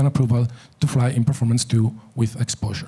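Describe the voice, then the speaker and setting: A man with a non-native accent talks at a fairly quick pace, his medium-pitched voice somewhat breathy with a dark, mellow tone. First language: not English. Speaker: aviation safety speaker. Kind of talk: conference presentation.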